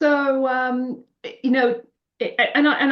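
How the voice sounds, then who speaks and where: A woman speaks with a British accent. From England, Birmingham. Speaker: finance industry leader and nonprofit founder. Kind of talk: interview.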